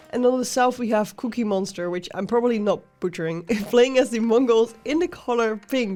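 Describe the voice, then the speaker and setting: A woman speaks at a moderate pace in a fairly high pitch with ordinary pitch variation while music plays in the background. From Netherlands. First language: Dutch. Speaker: game commentator. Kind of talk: live commentary.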